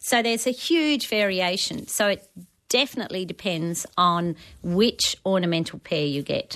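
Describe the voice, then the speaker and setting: With an Australian accent, the speaker moves at a moderate pace with lively intonation. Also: woman, medium pitch for a woman. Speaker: gardening expert. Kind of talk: talkback radio advice.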